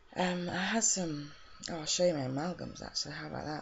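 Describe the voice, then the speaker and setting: There is noticeable background noise in this clip. A woman talks over it at a fairly quick pace. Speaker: video blogger sharing health experience. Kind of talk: personal video diary. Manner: halting, hesitant.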